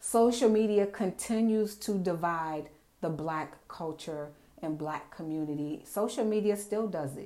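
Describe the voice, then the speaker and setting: Her tone is dark and mellow, and this woman's intonation is lively. She speaks at a fairly slow pace. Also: medium pitch for a woman. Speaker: podcast host. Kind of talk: angry rant about fake influencers and wellness sellers, profane and scolding. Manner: loud, fired-up, sassy and indignant; casual, profane, direct, confrontational.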